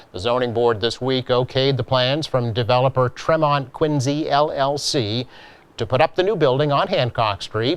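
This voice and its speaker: This man has a normal speaking voice at medium pitch, with ordinary pitch variation. He keeps a moderate pace and very even loudness. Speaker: local TV news host. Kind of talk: local news read.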